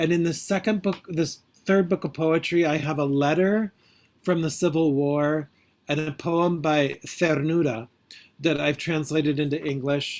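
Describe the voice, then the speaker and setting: This man has an ordinary speaking voice, fairly high in pitch, and talks at a fairly slow pace with fairly even intonation. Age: 50s. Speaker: poet and priest. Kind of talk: interview Q&A.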